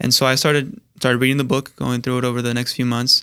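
A man talks very fast with a bright, sharp tone at a medium pitch. The recording is very clean with a silent background, dry and close with no echo. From California, born in Mexico (Jalisco). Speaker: religious brother. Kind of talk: interview. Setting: studio.

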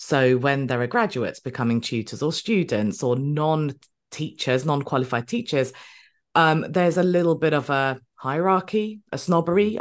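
Against a quiet background, a woman with a very deep, low pitch talks at a moderate pace with lively intonation. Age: 40s. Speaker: podcast host and business mentor for tutors. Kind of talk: casual interview chat.

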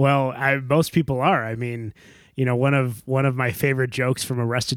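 A medium-pitched man with an American accent talks at a fairly quick pace and ordinary pitch variation, the dry, close sound with no echo coming from a very clean recording with a silent background. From Chicago area, US. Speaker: podcast co-host, former English teacher abroad. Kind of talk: casual chat. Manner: halting, many fillers and repeats.

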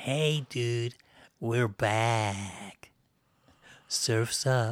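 Using a put-on character voice, a man delivers his lines at a medium pitch.

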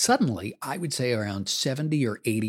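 With lively intonation and a moderate pace, a man speaks in a dry, close sound with no echo on a very clean recording with a silent background. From Canada, Toronto. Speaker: former radio host and voice coach. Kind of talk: scripted narration. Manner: natural conversational delivery.

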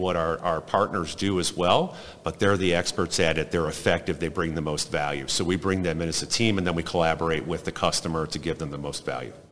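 A man speaks at a very fast pace. His very deep, low pitch keeps fairly even intonation. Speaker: business consultant. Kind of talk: casual interview. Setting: conference floor.

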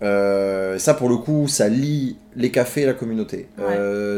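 A man's dark, mellow tone. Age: 30s. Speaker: community organizer and café founder. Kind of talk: interview conversation. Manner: halting.

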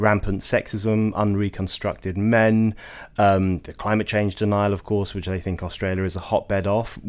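A man with an English accent speaks at a moderate pace in a fairly low pitch. The recording is very clean with a silent background. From England. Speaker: journalist and editor. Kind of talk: interview.

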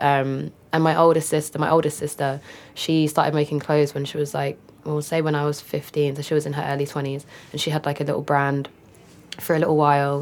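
With a London accent and a very deep, low pitch, a woman talks at a fairly quick pace in a monotone, flat intonation on a very clean recording with a silent background. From northeast London. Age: young. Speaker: photographer and director. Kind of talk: casual interview.

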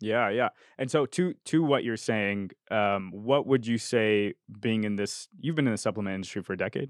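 A man at a medium pitch and a moderate pace. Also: ordinary pitch variation. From Argentina. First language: Spanish. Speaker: podcast host. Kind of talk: casual interview chat. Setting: podcast studio.

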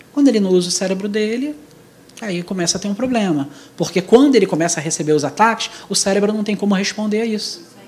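A man talks at a very fast pace in a high pitch. His pitch variation is ordinary, and there is noticeable background noise. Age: 40s. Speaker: church speaker. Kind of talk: church talk on youth.

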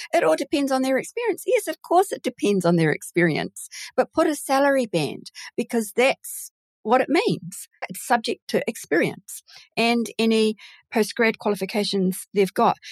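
A woman with a New Zealand accent speaks at a moderate pace in a high pitch with very wide pitch swings, and the sound is dry and close with no echo. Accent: Kiwi. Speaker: recruitment founder and podcast host. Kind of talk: casual interview.

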